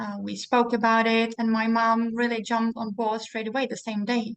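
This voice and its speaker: A woman with a Czech accent speaks at a fairly high pitch. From Czech Republic, Prague. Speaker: network marketing seller. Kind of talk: casual interview.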